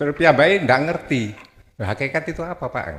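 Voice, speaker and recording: On a very clean recording with a silent background, a somewhat breathy man speaks with very wide pitch swings. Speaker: congregant asking question. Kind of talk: question to preacher. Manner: polite, deferential.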